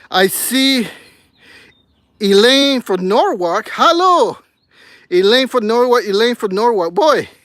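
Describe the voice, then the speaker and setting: A man speaks at a very slow pace with an extremely high pitch and lively intonation. Long pauses come often. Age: 60s. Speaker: gardening YouTuber. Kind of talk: live stream chat.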